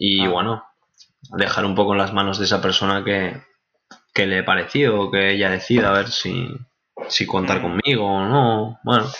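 The speaker talks at a moderate pace with fairly even intonation, broken by long, frequent pauses. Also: man, fairly low pitch for a man. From Spain, Valencian Community (Benicassim). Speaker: export sales clerk. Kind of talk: interview. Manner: halting, many fillers.

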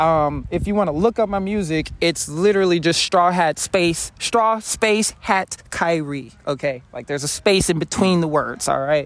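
The speaker is a man with a high pitch. The recording is very clean, the background silent. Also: ordinary pitch variation, moderate pace, hardly any pauses. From New Orleans. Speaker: rapper. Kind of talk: casual interview. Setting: live music event.

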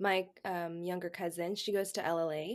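An unremarkable speaking voice from a woman with an American accent, fairly low in pitch, with fairly even intonation. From Texas. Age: 20s. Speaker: healthcare administration resident. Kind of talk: casual chat.

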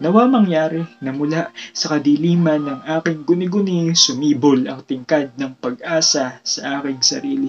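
Moderate pace and a normal speaking voice, hardly any pauses, ordinary pitch variation throughout. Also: man, fairly high pitch for a man. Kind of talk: spoken word poetry performance. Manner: reflective, earnest, rhythmic delivery; rhyme-driven, rising emotion, pauses for effect.

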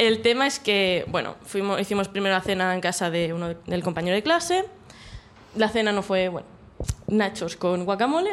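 A normal speaking voice, moderate in speed, its pitch varying in an ordinary way. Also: woman, medium pitch for a woman. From Catalonia, Mataró. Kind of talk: storytelling.

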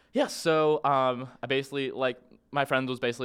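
A man with a normal speaking voice talks at a medium pitch and moderate pace in a very clean recording with a silent background. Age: 20s. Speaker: podcast guest. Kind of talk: casual chat.

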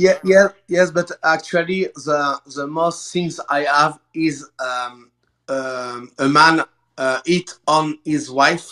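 Very slow and dry, close to the mic with no echo, a man in a French accent speaks at a fairly high pitch with fairly even intonation. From France. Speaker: emergency medic. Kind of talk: casual chat. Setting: video call. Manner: halting.

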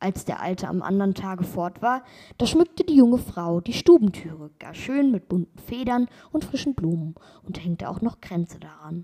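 Close and dry with no echo, a woman's voice sits at a medium pitch, somewhat breathy, with a calm, dark, mellow tone and lively intonation. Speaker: podcast host reading fairy tales. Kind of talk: bedtime story reading aloud of a fairy tale. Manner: calm, slow, storytelling cadence.

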